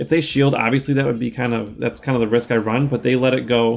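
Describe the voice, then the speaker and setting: A medium-pitched man talks with fairly even intonation, noticeable background noise behind him. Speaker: gaming YouTuber. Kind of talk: gameplay commentary. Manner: casual, with filler words.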